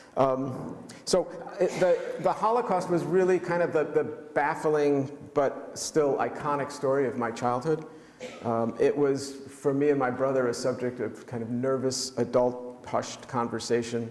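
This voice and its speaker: With a New York accent, a man talks at a fairly slow pace over noticeable background noise. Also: fairly high pitch for a man, ordinary pitch variation. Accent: New York American. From US Northeast, New York City (Manhattan). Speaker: author and pediatrician. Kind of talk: book talk presentation. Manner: halting, many fillers.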